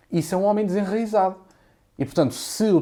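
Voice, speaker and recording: The man's voice has a dark, mellow tone. He moves through his words fairly quickly. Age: 20s. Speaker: content creator. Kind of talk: podcast interview answer.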